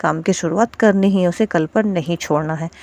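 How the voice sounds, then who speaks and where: A soft-spoken, dark, mellow voice with fairly even intonation, dry and close with no echo. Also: woman. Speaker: housewife vlogger. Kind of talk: casual vlog talk to viewers. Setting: at home. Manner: soft, quiet voice.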